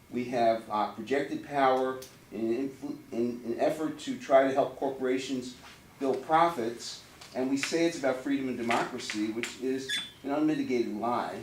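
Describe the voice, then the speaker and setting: The voice moves at a moderate pace, with noticeable background noise and audible room echo. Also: man, medium pitch for a man. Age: 60s. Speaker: audience member at a town hall. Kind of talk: public comment at a town hall meeting. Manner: animated.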